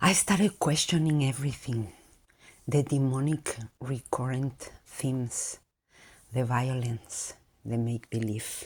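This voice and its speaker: Speaking at a fairly slow pace with long, frequent pauses, a woman with a non-native accent has a very deep, low pitch and ordinary pitch variation on a very clean recording with a silent background. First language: not English. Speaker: vlogger. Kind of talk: monologue.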